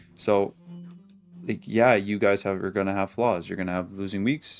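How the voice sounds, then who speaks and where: A man's voice with music playing in the background. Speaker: forex day trader, trading video creator. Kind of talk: weekly trade review to camera. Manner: casual, filler-heavy.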